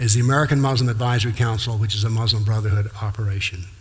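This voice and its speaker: A man talks at a very fast pace, somewhat breathy, with audible room echo. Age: 70s. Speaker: former professor and lecturer on Islam. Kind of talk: lecture. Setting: talk to live audience, filmed for TV.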